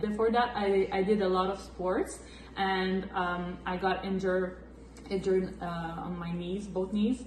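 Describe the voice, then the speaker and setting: In a Quebec French accent, a woman speaks at a fairly slow pace and medium pitch with monotone, flat intonation, amid noticeable background noise and audible room echo. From Quebec, Valleyfield near Montreal. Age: 20s. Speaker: massage therapist and flag football coach. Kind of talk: casual Q&A chat.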